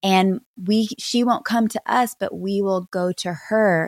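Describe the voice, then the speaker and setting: A woman with an unremarkable speaking voice talks at a medium pitch with ordinary pitch variation, in a very clean, dry, close recording with a silent background and no echo. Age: 40s. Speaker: pastor's wife and author. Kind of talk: interview conversation.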